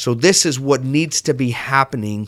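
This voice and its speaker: With an unremarkable speaking voice, a man talks at a moderate pace and ordinary pitch variation on a very clean recording with a silent background. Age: 40s. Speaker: podcast host. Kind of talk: solo self-help podcast talk. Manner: casual, conversational.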